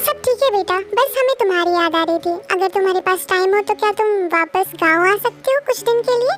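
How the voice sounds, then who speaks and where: Over clear background music, a woman rattles off lines at a very fast pace in a put-on character voice. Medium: fan dub. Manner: mild, joking.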